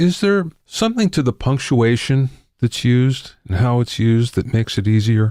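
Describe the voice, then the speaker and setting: With a plain, everyday voice, a man speaks at medium pitch and a moderate pace, his intonation lively and his loudness very even, on a very clean recording with a silent background. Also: dry, close sound with no echo. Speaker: podcast host. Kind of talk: interview question.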